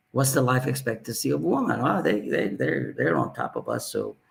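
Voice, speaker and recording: A man's voice with vocal fry, a fairly quick pace and very wide pitch swings. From Ethiopia. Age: 60s. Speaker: aviation executive and former pilot. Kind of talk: interview storytelling. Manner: halting, many fillers and repeats.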